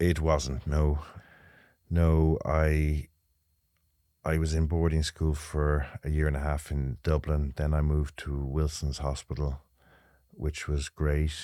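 In an Irish Midlands accent, a man speaks at a very slow pace with long, frequent pauses, a very deep, low pitch, a dark, mellow tone and monotone, flat intonation, in a very clean recording with a silent background. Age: 50s. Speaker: retired jockey, racecourse manager. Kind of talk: interview. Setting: studio.

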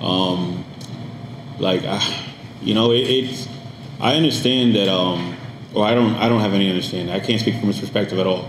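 Amid noticeable background noise, a man with an American accent speaks at a moderate pace, fairly low in pitch, with ordinary pitch variation. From Paterson, New Jersey, US; Dominican parents. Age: 30s. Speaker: podcast studio owner and producer. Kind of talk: casual interview chat. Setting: studio.

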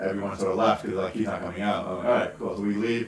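A fairly low-pitched man's voice with fairly even intonation, amid audible room echo and noticeable background noise. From Western Canada, British Columbia. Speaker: comedian. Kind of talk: casual chat.

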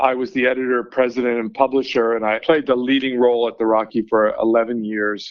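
Here a man speaks in an unremarkable speaking voice at medium pitch. His intonation is fairly even. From Vancouver, Canada. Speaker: newspaper editor. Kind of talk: interview.

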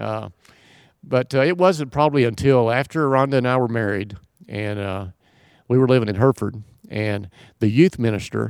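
A man talks at a moderate pace with ordinary pitch variation and long, frequent pauses. The recording is very clean, with a silent background. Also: medium pitch for a man. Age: 60s. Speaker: retired software entrepreneur. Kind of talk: casual chat.

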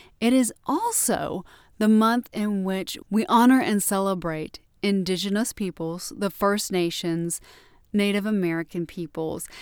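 A woman's normal speaking voice: medium pitch, ordinary pitch variation, fairly slow pace, a normal speaking voice. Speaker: library podcast host. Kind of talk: podcast presenting.

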